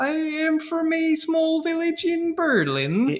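Light background noise accompanies a put-on character voice. It moves at a fairly slow pace with fairly even intonation. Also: woman, extremely high pitch for a woman.

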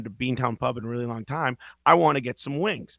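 The sound is dry and close with no echo as a man speaks in a plain, everyday voice at a medium pitch with ordinary pitch variation. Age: 40s. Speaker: podcast host. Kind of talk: casual chat. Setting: video call.

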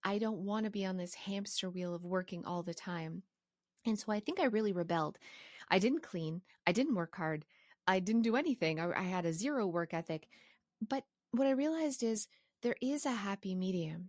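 An unremarkable speaking voice from a woman at medium pitch, with lively intonation, in a dry, close sound with no echo and a very clean recording with a silent background. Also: fairly quick pace. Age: 40s. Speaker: podcast host. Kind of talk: solo podcast monologue. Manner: casual, conversational.

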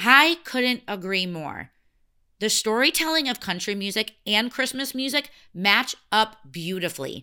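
On a very clean recording with a silent background, a fairly high-voiced woman with an American accent speaks fairly slowly, her pitch swinging very widely. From US Midwest. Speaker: podcast host. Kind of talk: scripted narration.

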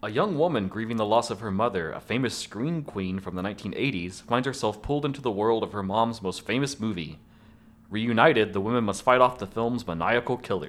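A man speaks in an unremarkable speaking voice at a medium pitch with ordinary pitch variation. His pace is fairly quick, and the recording is very clean with a silent background. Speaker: podcast host. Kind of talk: casual chat.

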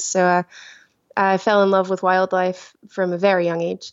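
In a Glasgow accent, a woman with a medium pitch speaks at a moderate pace. Her intonation is monotone and flat. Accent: Scottish (Glasgow area). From Scotland, village near Glasgow. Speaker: killer whale trainer and author. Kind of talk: interview. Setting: remote call.

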